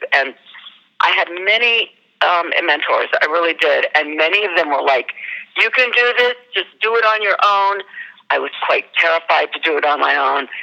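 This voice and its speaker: An unremarkable speaking voice with an American accent, lively intonation, a moderate pace and very even loudness. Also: woman, fairly low pitch for a woman. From US South, Northern Virginia (Arlington). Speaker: actor and theater producer. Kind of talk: interview.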